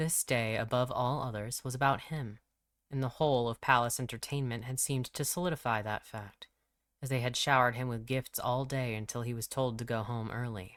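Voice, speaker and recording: A man with an unremarkable speaking voice, medium pitch, fairly even intonation and a fairly quick pace, in a very clean recording with a silent background. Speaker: audiobook narrator. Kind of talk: audiobook fiction reading.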